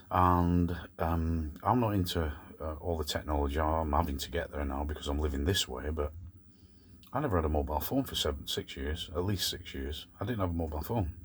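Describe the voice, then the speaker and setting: A man's very deep, low voice, somewhat breathy, at a fairly quick pace with ordinary pitch variation. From Scotland, Glasgow, then England from age four. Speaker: van life vlogger. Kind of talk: casual vlog monologue. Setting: in a van in the evening.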